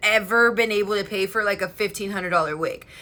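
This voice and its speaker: A woman speaks loudly in a bright, sharp, animated tone. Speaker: beauty livestreamer. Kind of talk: casual livestream chat.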